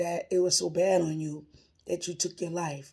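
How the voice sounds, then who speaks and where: A woman speaks in a dark, mellow tone. Vocal fry runs through her voice. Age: 60s. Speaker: retired worker sharing religious encouragement. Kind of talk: informal religious monologue.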